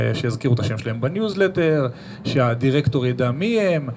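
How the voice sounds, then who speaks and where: A man speaks with lively intonation amid noticeable background noise. Room echo is audible. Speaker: marketing professional. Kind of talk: live podcast interview with audience. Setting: stage with live audience.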